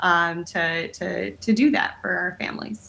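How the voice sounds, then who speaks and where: A woman with a bright, sharp tone. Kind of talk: interview answer. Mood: friendly, smiling. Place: home room. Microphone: video call.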